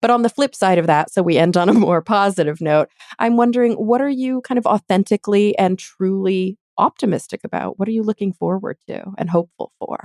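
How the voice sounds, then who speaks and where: With an American accent, a woman talks at a fairly quick pace in a medium pitch with ordinary pitch variation. The sound is dry and close, with no echo. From Texas. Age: 30s. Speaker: podcast host. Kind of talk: interview. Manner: halting, many fillers.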